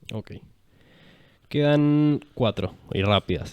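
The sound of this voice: A man talks at a fairly slow pace with ordinary pitch variation. His tone is clear and smooth.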